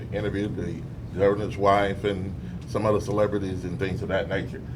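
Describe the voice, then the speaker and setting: Over audible room echo, a man with an American accent speaks very fast at a fairly low pitch with fairly even intonation. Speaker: radio talk show host. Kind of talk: interview. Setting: studio with audience. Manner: hesitant fillers.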